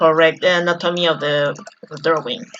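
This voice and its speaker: A woman with a Spanish accent. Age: 30s. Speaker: artist and drawing teacher. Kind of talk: live-stream painting tutorial. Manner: halting.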